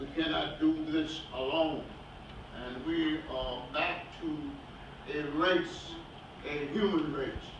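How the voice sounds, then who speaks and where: With audible room echo and noticeable background noise, a man with a fairly high pitch speaks at a very slow pace, with fairly even intonation and long, frequent pauses. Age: 80s+. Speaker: elder activist. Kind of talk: speech at a gathering.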